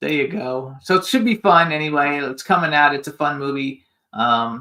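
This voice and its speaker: A man's bright, sharp tone with an American accent, fairly high in pitch, at a moderate pace with ordinary pitch variation. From Florida. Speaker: radio talk show host. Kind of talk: casual chat.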